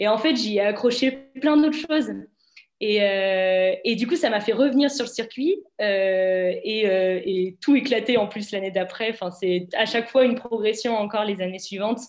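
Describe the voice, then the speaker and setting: Her voice is a normal speaking voice with a fairly high pitch for a woman. She speaks at a fairly slow pace with ordinary pitch variation. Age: 20s. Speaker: student athlete. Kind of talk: webinar interview. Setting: online webinar.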